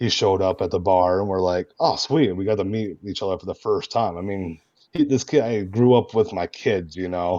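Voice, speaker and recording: Speaking at a moderate pace, a man with an American accent has a dark, mellow tone. His pitch is fairly low and varies in an ordinary way. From Michigan, US Midwest. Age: 30s. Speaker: roleplay gamer. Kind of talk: casual interview chat. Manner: animated.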